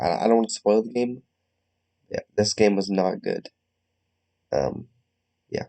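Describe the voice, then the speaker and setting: A man speaks quietly at a fairly slow pace, with long, frequent pauses. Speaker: gaming youtuber. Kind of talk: gameplay commentary. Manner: hesitant, many fillers. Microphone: recording sounds quiet.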